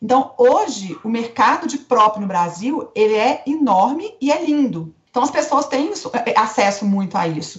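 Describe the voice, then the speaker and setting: A woman speaks in a Minas Gerais accent at a high pitch, her voice making very wide pitch swings. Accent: Minas Gerais Brazilian Portuguese. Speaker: family and newborn photographer. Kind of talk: podcast interview answer.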